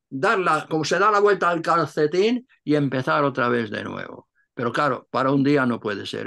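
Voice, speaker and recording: Against a quiet background, a man speaks at a moderate pace. His tone is bright and sharp. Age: 80s+. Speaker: Cistercian monk and translator; interviewee. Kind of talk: interview. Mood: calm, reflective. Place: home room. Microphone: video call.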